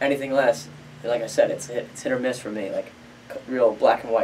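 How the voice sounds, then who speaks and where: Against noticeable background noise, a man with an American accent talks at a very fast pace. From New Jersey. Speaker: professional MMA fighter. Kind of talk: casual interview chat. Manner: animated storytelling.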